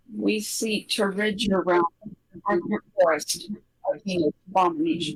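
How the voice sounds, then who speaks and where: A put-on character voice at a middle pitch delivers its lines at a fairly slow pace. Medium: actual play.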